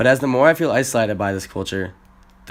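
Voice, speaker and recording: A man's medium-pitched voice. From US Midwest, Chicago. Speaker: exchange student. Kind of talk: scripted narration.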